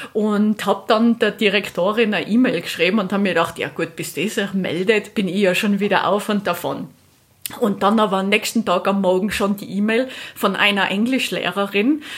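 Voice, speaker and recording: The speech keeps a moderate pace and fairly even intonation, with noticeable background noise behind it. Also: woman, medium pitch for a woman. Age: 30s. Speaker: moped traveller. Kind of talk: interview.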